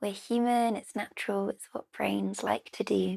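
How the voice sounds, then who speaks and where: The speaker has a British accent and a fairly slow pace. The sound is dry and close with no echo. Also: woman. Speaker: yoga teacher. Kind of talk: guided relaxation.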